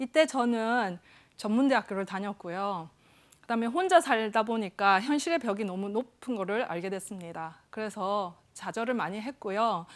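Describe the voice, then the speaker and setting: Speaking in a Busan accent, a woman uses a fairly high voice and lively intonation at a moderate pace, on a very clean recording with a silent background. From South Korea, Busan (Yeongdo). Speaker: psychiatric nurse practitioner, talk speaker. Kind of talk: stage talk.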